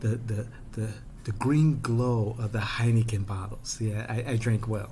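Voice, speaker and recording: Through audible room echo, a man with an American accent speaks at a moderate pace and medium pitch. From Chicago South Side. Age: 50s. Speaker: political commentator. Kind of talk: personal storytelling monologue. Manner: animated.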